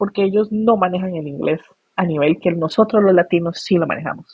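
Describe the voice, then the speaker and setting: A woman at a moderate pace, medium pitch and ordinary pitch variation. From Costa Rica. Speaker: migration expert, NGO founder. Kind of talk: interview conversation.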